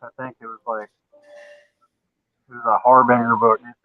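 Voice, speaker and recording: A man with a medium-pitched voice speaks with a strong Southern US accent. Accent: Southern US, thick. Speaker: guest comic collector. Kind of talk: casual chat.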